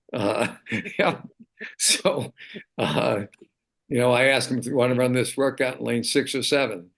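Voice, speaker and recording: A man with vocal fry talks at a moderate pace and medium pitch, with ordinary pitch variation. He leaves long, frequent pauses. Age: 70s. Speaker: track and field coach. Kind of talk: casual chat.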